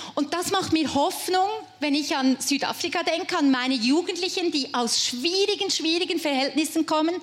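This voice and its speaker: A woman speaks at a moderate pace in an enthusiastic, warm tone. Noticeable background noise runs underneath. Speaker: preacher. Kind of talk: sermon to a live youth audience, personal and warm. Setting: stage with audience. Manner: animated.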